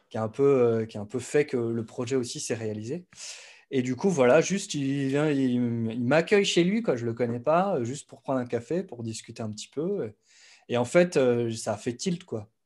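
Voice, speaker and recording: A man talking at a moderate pace against a quiet background. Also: lively intonation. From eastern France, Besançon; France. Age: 30s. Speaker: music producer and YouTube educator; YouTube educator. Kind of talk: casual interview. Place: home room. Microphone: studio mic.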